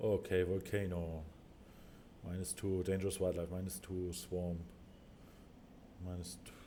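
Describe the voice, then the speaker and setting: A very deep, low-pitched man's voice with a German accent, dark and mellow in tone, monotone and flat, at a fairly slow pace with long, frequent pauses, big swings in loudness and audible room echo. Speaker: gaming video creator. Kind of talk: gameplay commentary. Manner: halting.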